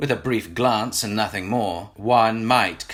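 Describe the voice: The intonation stays fairly even during this plain reading aloud.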